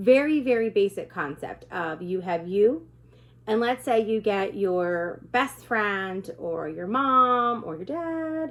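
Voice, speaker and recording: In a very clean recording with a silent background, a woman at medium pitch speaks very slowly, with very wide pitch swings and big swings in loudness. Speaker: direct sales consultant. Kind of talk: informal talk to camera. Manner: casual.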